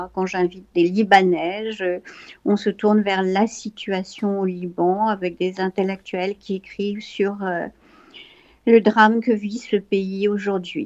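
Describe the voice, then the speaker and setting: The pace is very slow as a woman speaks. Her intonation stays fairly even. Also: medium pitch for a woman. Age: 70s. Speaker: art foundation founder. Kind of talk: interview testimony. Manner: halting.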